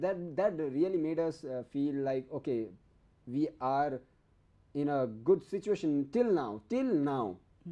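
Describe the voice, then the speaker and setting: A man is speaking. His pace is fairly slow. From Nepal. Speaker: TV talk show host; interview guest. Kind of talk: TV interview. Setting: TV studio. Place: studio. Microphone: lapel.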